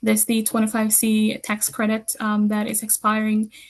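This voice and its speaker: Her voice carries some breathiness. The speaker is female. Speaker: community program coordinator. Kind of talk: webinar presentation. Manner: fast.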